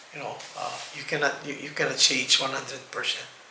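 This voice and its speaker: Audible echo from the room and noticeable background noise surround a man's voice. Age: 60s. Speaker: rehab manager. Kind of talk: interview. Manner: halting, frequent repetitions and fillers.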